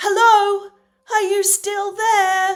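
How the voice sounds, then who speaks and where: A woman's put-on character voice, squeaky and extremely high-pitched, in a monotone, flat delivery. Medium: solo performance. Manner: friendly, enigmatic.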